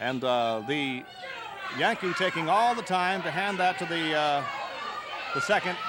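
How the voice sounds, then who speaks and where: Crowd noise fills the background as a man speaks at a fairly slow pace. His voice is high and swings very widely in pitch. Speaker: wrestling TV announcer. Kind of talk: live sports play-by-play commentary.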